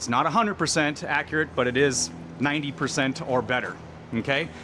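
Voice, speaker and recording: A man talks at a fairly quick pace. Noticeable background noise runs under his voice. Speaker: RV salesman. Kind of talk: product walkthrough. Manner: fast.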